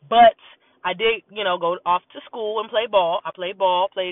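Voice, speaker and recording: The tone is animated. The pace is moderate. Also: woman. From US East Coast, born in North Carolina. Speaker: podcast host. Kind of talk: casual monologue. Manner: animated, talkative.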